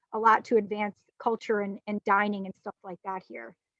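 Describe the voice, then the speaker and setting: In a Long Island accent, a woman talks at a fairly quick pace in a fairly high voice with monotone, flat intonation and a dry, close sound with no echo. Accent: Long Island New York. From Long Island, New York. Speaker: sommelier and winery manager. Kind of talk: virtual guided wine tasting presentation. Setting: video call, outdoors on a patio. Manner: halting, many fillers and restarts.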